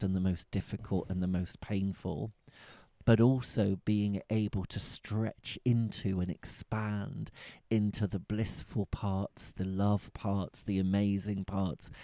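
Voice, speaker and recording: A man's fairly low, dark, mellow voice with a Bristol accent, at a fairly slow pace on a very clean recording with a silent background. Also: dry, close sound with no echo. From Bristol, England. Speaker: tantra teacher and podcast host. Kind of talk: casual chat.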